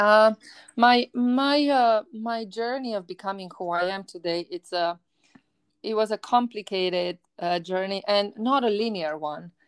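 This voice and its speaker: A woman with a Romanian accent speaks at a fairly slow pace and a medium pitch with ordinary pitch variation, in a very clean recording with a silent background and a dry, close sound with no echo. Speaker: university professor and podcast host. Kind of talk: casual interview.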